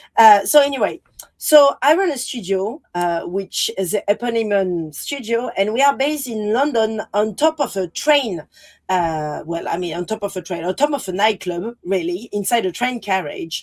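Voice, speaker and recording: In a strong French accent, the speaker moves at a moderate pace through very wide pitch swings, recorded with a dry, close sound and no echo. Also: woman, fairly high pitch for a woman. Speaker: designer and artist. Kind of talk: panel presentation. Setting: virtual presentation, video call.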